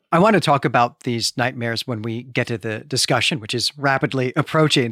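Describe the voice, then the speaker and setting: A man speaks at a moderate pace in an enthusiastic tone. The sound is dry and close with no echo, in a very clean recording with a silent background. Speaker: podcast host. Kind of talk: casual literary discussion. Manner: enthusiastic, with many hesitations and restarts.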